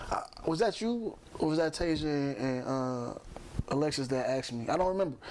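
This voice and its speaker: In an American accent, a man talks at a fairly high pitch. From Chicago, US Midwest. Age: 40s. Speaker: podcast host. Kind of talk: casual chat.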